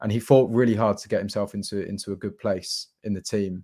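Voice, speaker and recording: Fairly low in pitch, a man's voice has a dark, mellow tone and monotone, flat intonation. The recording is very clean, with a silent background. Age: 20s. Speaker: football fan pundit. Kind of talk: casual chat.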